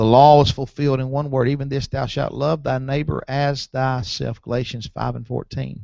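Against a quiet background, a man speaks at a moderate pace in a dark, mellow tone with monotone, flat intonation, the sound dry with no echo. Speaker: preacher. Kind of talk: sermon. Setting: church. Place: church.

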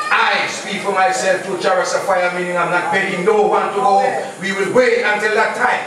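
A man with a high-pitched voice speaks in a room with strong echo and noticeable background noise. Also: moderate pace. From Jamaica. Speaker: Rastafarian speaker. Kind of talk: lecture. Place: hall.

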